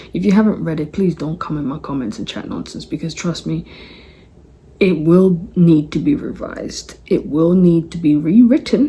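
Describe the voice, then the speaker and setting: A woman's fairly low voice with a London accent, lively intonation, big swings in loudness and a moderate pace, over noticeable background noise. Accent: London English with Congolese roots. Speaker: political commentator. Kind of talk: casual commentary monologue. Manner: animated.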